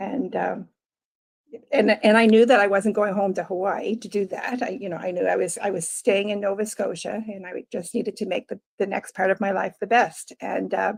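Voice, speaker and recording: A woman talks at a moderate pace with medium pitch and fairly even intonation. She has a normal speaking voice. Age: 60s. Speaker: life coach. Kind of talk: interview.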